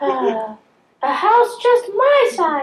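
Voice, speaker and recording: A squeaky put-on character voice at an extremely high pitch. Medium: stage play.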